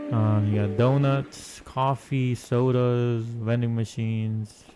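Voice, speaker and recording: Over music in the background, a man with a medium pitch speaks very slowly in a monotone, flat intonation. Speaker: gaming YouTuber. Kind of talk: casual walkthrough commentary. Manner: halting, many fillers.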